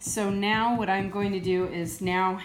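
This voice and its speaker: Audible room echo hangs around the voice. Its intonation is fairly even. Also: woman. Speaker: soap maker. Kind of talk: tutorial. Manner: unscripted, off the cuff.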